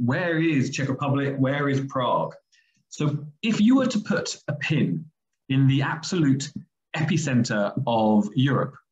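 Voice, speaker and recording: A man with an English accent speaks at a fairly slow pace in a fairly high, somewhat breathy voice. His pitch varies in an ordinary way. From England, London. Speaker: medical school vice dean and surgeon. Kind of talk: webinar presentation. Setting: video call.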